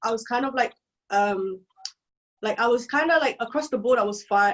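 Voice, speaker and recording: A woman speaks at a fairly quick pace with a fairly high pitch. Her pitch varies in an ordinary way. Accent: London. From East London, England. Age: 20s. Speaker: software engineer and content creator. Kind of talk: podcast interview.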